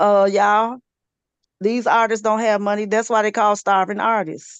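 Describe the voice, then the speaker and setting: A woman speaks at a moderate pace and a medium pitch, her loudness very even. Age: 40s. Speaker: radio personality. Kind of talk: casual chat. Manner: animated.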